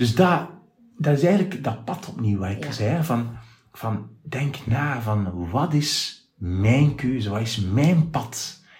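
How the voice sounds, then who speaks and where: A man speaks at a very slow pace in a somewhat breathy, medium-pitched voice, and his pitch swings very widely. Audible room echo surrounds him. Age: 50s. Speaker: radio presenter. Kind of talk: casual interview. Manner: clear, articulate.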